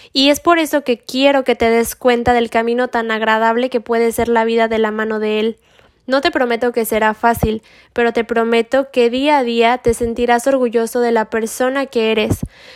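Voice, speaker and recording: A normal speaking voice from a woman, fairly high in pitch, fairly even in intonation, at a moderate pace, with a dry, close sound, no echo, and a very clean recording with a silent background. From Mexico. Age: 20s. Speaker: religious podcast host. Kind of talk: scripted spiritual monologue.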